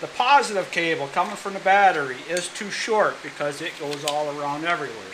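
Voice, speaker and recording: Noticeable background noise accompanies a man speaking at a moderate pace with a high pitch and ordinary pitch variation. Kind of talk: tutorial. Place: garage. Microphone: phone near.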